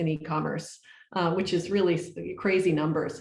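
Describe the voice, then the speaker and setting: Using ordinary pitch variation, a woman speaks with an American accent at a fairly low pitch. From United States. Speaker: research agency managing director. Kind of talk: panel presentation. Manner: fast.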